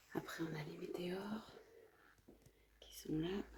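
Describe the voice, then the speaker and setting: Audible room echo and noticeable background noise are present. Through them, a woman talks with ordinary pitch variation. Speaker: family travel vlogger. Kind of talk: casual vlog narration. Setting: indoors at a work premises. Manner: speaking quietly.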